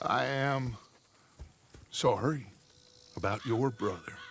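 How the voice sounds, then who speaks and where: At a fairly slow pace and medium pitch, a man performs in a put-on character voice. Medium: video game. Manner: terse.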